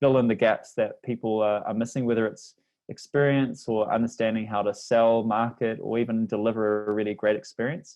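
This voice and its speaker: A man speaks with a New Zealand accent. He keeps a fairly quick pace. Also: medium pitch for a man. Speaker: language learning company representative. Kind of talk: podcast interview.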